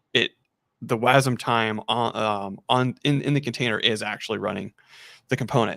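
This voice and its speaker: A man with a normal speaking voice talks at a moderate pace and medium pitch, his intonation fairly even, in a dry, close sound with no echo on a very clean recording with a silent background. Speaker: software engineer demoing containers. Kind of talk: live coding tutorial chat.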